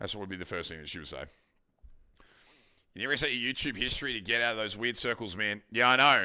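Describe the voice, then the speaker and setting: A man with an Australian accent and a bright, sharp tone, very fast in pace with long, frequent pauses and big swings in loudness, on a very clean recording with a silent background. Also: ordinary pitch variation. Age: 30s. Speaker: streamer. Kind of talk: casual chat.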